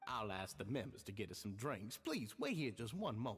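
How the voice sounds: Over faint background music, a man uses a put-on character voice at a fairly low pitch with a slightly husky edge, big pitch swings and a moderate pace.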